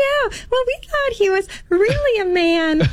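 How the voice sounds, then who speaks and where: A woman's put-on character voice, squeaky and extremely high-pitched, with very wide pitch swings at a fairly slow pace. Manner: mocking.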